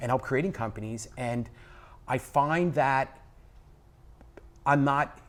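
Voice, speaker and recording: In a New York accent, a man talks at a very slow pace with long, frequent pauses, a medium pitch and ordinary pitch variation. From New York City, the Bronx. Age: 60s. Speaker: business executive and spiritual teacher. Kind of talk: casual interview chat. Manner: loud.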